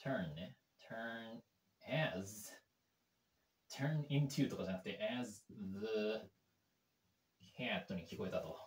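At a very slow pace, a man speaks with long, frequent pauses and very wide pitch swings. Audible room echo surrounds his voice. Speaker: English learner YouTuber. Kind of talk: language-learning commentary. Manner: halting, many fillers. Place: home room.

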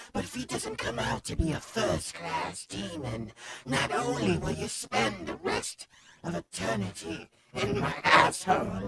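The delivery is fairly slow. It comes in a put-on character voice. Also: man. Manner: menacing, sarcastic.

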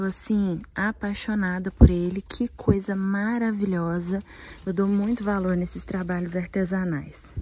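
A woman speaks quietly at a fairly slow pace in a somewhat breathy voice with a dark, mellow tone and monotone, flat intonation, in a dry sound with no echo. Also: medium pitch for a woman. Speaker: vlogger. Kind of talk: shopping vlog, talking to camera. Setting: inside a shop. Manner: speaking quietly. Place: shop. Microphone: phone near.

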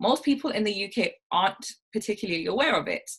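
Against a quiet background, a woman talks at a moderate pace. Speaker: speaker. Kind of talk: talk to reading group. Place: home room. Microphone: video call.

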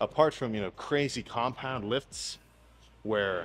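Light background noise sits under this man's voice. His pitch variation is ordinary. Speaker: bodybuilder vlogger. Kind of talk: casual vlog chat. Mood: mildly annoyed, opinionated. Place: gym.

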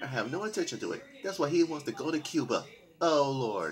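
Male speech at a moderate pace, faint music playing behind it. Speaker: home vlogger on news. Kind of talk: casual news commentary. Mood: amused, mock exasperated. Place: home room. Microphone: webcam.

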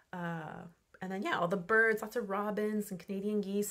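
The pitch of a woman's voice varies in an ordinary way as she talks at a moderate pace, the background quiet. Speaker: travel vlogger. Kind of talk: casual vlog chat. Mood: relaxed, reflective. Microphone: phone near.

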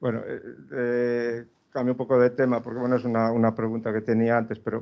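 A man at a medium pitch and a moderate pace. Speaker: research centre host, moderator. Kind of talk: talk introduction and moderation. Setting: lecture hall, hybrid event. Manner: halting.

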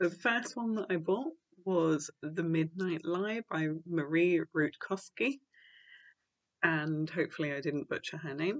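A British accent at a fairly slow pace, with ordinary pitch variation, in a dry, close sound with no echo. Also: woman, fairly low pitch for a woman. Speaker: book reviewer. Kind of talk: casual talk to camera.

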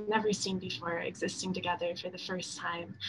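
Over noticeable background noise, a woman speaks at a moderate pace with an American accent. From Wisconsin (Shorewood, near Milwaukee). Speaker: undergraduate student. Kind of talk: speaker introduction. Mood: warm, friendly. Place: home room. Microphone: webcam.

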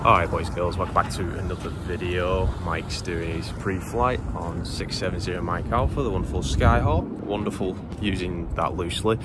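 Moderate pace over loud background noise, in a dry sound with no echo. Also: man, ordinary pitch variation. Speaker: flight instructor vlogger. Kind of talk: casual vlog chat. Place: open country. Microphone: phone near.

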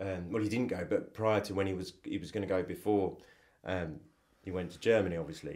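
With a southern English accent, a man talks at a fairly quick pace and fairly low pitch. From England, Cambridge. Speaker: photographer. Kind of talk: interview.

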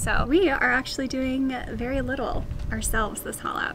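A woman at a moderate pace, with noticeable background noise. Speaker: boat owner vlogger. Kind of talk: casual vlog chat. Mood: cheerful, upbeat. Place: open country. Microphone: phone near.

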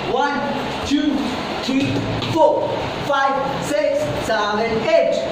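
In a room with audible echo and loud background noise, a woman speaks at a very slow pace. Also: ordinary pitch variation. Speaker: dance instructor. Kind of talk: counting beats while teaching dance. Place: empty room. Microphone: camera far.

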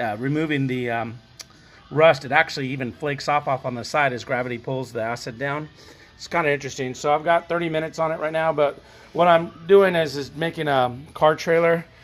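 With faint music in the background, a man talks at a fairly quick pace with ordinary pitch variation. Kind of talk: tutorial. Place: garage. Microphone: phone near.

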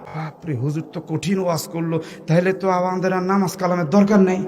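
A man talks in an animated tone over noticeable background noise. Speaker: Islamic preacher (waz speaker). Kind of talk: Islamic sermon (waz) delivered to a live audience. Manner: animated, preaching, interacts with audience.

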